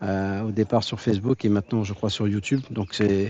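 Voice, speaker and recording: The man's voice sits fairly low. He talks at a moderate pace with fairly even intonation. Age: 60s. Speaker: pétanque club founder and event organiser. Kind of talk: interview testimony. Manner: talkative, hesitant with repetitions.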